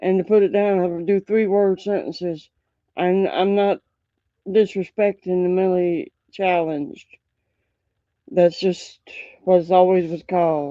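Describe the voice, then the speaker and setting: Long, frequent pauses mark this speech in a Southern US accent. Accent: Southern drawl. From US South. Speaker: live streamer reacting to bodycam videos. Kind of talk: casual live-stream commentary. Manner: halting, many fillers.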